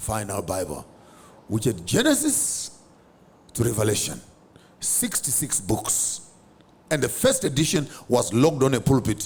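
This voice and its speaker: A somewhat breathy man at a moderate pace, animated in tone, with lively intonation and long, frequent pauses. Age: 50s. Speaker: public speaker and theologian. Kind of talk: podcast interview.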